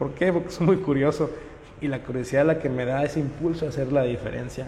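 A man at a fairly high pitch and moderate pace, with ordinary pitch variation, noticeable background noise and audible room echo. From Mexico, Monterrey area (Nuevo León). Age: 20s. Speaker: local election candidate. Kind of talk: interview. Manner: halting, with frequent repetitions.

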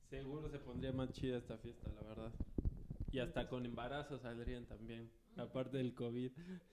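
A man talks in a flat, monotone intonation at a moderate pace. His pitch sits in the medium range. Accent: Mexican. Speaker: radio show co-host. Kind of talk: casual chat.

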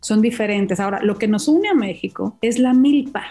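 Noticeable background noise surrounds a woman talking at a fairly quick pace and fairly high pitch with ordinary pitch variation. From Mazatlán, Sinaloa, Mexico. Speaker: chef. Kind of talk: casual chat. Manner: animated.

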